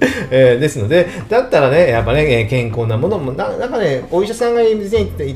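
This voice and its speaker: A man with a fairly high pitch speaks at a moderate pace, his pitch swinging very widely, with audible room echo and noticeable background noise. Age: 40s. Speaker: tax accountant podcaster. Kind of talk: solo podcast monologue. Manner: casual, filler-heavy.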